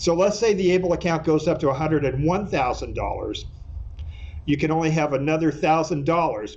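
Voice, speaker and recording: Audible room echo surrounds a man with a fairly high pitch. He talks at a fairly quick pace with ordinary pitch variation. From California. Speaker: attorney. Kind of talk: lecture. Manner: fast.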